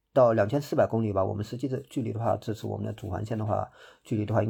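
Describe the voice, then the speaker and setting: A man's medium-pitched, somewhat breathy voice with a dark, mellow tone against a quiet background. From Hangzhou, Zhejiang. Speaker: trail runner. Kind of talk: interview. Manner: hesitant, many fillers.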